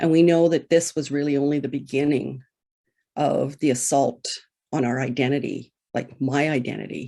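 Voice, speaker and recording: A woman speaks with a very deep, low pitch and a dark, mellow tone. Her intonation stays fairly even. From Manitoba, First Nations reserve. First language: Ojibwe. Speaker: residential school survivor and speaker. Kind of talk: personal testimony talk.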